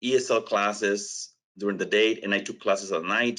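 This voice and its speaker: With a strong non-native accent, a man speaks at a medium pitch in a bright, sharp tone. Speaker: education technology representative. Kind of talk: webinar presentation. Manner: hesitant, many fillers.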